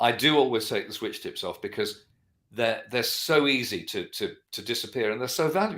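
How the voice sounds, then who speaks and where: A man with a London accent, on a very clean recording with a silent background. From London, England. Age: 60s. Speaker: guitarist and vintage guitar dealer. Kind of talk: interview. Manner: fast.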